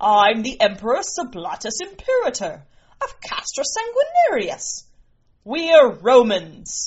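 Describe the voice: A woman's put-on character voice, fairly high and slow, with very wide pitch swings, a slightly mellow tone and a slightly husky edge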